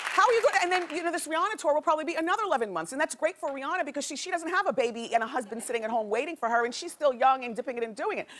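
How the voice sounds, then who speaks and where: Over noticeable background noise, the voice races along at a very fast pace with very wide pitch swings. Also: woman, high pitch for a woman. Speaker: talk show host. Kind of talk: talk show monologue, hot topics.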